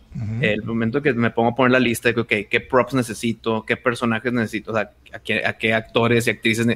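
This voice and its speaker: Fairly quick, bright and sharp delivery from a man with a Mexican accent at a medium pitch. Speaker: podcaster and video producer. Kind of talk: casual chat.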